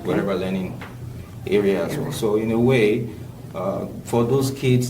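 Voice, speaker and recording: Fairly low-pitched male voice with ordinary pitch variation, over noticeable background noise. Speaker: community leader. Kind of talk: podcast interview answer.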